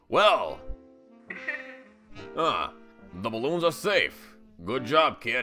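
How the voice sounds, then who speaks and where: A man's put-on character voice at a very slow pace, broken by long, frequent pauses, with faint music in the background. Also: fairly high pitch for a man. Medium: dub.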